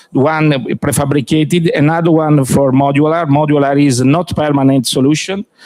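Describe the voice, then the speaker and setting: Speaking in an Italian accent at a moderate pace, a man has a fairly high pitch, fairly even intonation and very even loudness. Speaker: company executive presenting. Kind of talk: business presentation. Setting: trade fair pavilion with audience. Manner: halting, many fillers.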